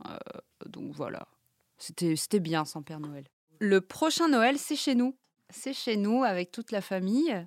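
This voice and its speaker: Very clean and silent in the background, the recording has a dry, close sound with no echo. A woman at medium pitch speaks fairly slowly with long, frequent pauses, very wide pitch swings and big swings in loudness. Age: 30s. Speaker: mother sharing parenting experience. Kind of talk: personal testimony. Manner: hesitant, with fillers and repetitions.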